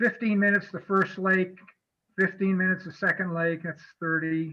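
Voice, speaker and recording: With an American accent, a raised, projected voice of bright, sharp tone delivers its words at a moderate pace in a monotone, flat intonation. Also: man. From US Midwest (Kansas). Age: 70s. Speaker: fishing guide presenter. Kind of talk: presentation with Q&A. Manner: casual, hesitant with fillers.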